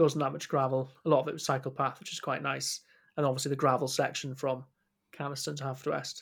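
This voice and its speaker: In a very clean recording with a silent background, a man talks very fast in a fairly high pitch, his intonation monotone and flat, with vocal fry. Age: 20s. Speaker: podcast co-host, bike shop worker. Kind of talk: casual chat.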